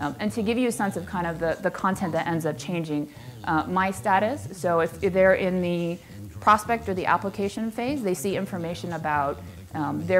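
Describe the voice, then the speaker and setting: A woman speaks at a fairly quick pace in a fairly low pitch, with light background noise. She has a plain, everyday voice. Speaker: conference presenter. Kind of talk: presentation talk. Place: hall.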